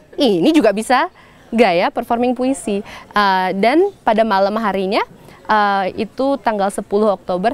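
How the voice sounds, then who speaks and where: Noticeable background noise sits behind the speaker. A woman talks at a fairly high pitch with lively intonation. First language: stronger in English than Indonesian (speaking Indonesian). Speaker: poet and performer. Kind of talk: interview. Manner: hesitant, many fillers.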